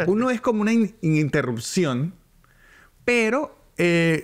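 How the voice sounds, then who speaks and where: A man's voice with very wide pitch swings. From Venezuela. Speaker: stand-up comedian. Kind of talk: casual chat. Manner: halting.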